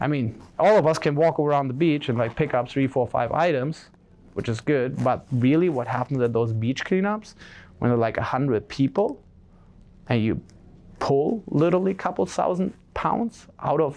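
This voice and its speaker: A man talks at a moderate pace with a fairly high pitch and lively intonation. His loudness stays very even. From Germany. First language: German. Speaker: social entrepreneur, keynote speaker. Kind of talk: keynote speech. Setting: stage with audience. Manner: casual, filler-heavy.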